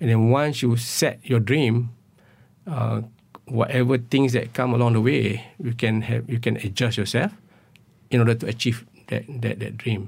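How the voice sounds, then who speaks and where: A man speaks at a medium pitch and a moderate pace, with vocal fry. His intonation is fairly even, broken by long, frequent pauses. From Malaysia, Perlis. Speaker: university vice chancellor and entomologist. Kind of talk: interview. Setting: radio studio. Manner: halting, many fillers.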